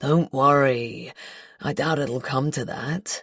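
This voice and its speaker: In a put-on character voice that is raspy and low-to-middle in pitch, the speaker goes at a fairly slow pace over a silent background in a very clean recording. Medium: read story. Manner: cool, unruffled.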